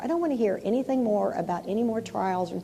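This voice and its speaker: A woman talks in a fairly high voice with noticeable noise in the background. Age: 60s. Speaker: pastor. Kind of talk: sermon. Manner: casual, conversational; animated.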